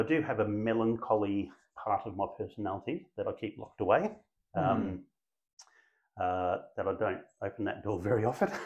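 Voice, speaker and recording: A man in an Australian accent, with long, frequent pauses. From Brisbane, Australia. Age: 50s. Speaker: real estate agency principal. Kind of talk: interview.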